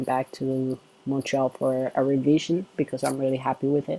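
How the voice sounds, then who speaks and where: The tone is dark and mellow, with monotone, flat intonation. The pace is moderate and the sound is dry and close with no echo. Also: man. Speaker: vlogger. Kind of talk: casual chat. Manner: hesitant, many fillers. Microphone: laptop camera and mic.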